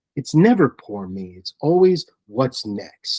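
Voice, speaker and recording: A man's very slow, dark and mellow voice in an American accent, with very wide pitch swings and a dry, close sound with no echo. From New York (Brooklyn). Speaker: horror film producer and writer. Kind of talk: interview. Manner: animated.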